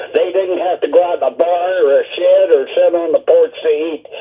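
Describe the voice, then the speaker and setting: A man is speaking. Music plays in the background. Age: 80s+. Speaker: caller. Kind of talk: call-in comment.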